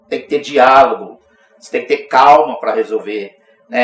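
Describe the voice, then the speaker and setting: The speaker is a man. He talks at a moderate pace. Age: 60s. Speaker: union president. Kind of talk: interview.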